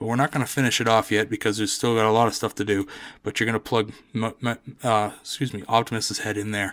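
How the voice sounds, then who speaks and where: The recording is very clean, with a silent background. A man speaks at a fairly quick pace, his fairly low pitch monotone and flat. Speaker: toy reviewer. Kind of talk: product review tutorial. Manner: casual, hesitant with fillers.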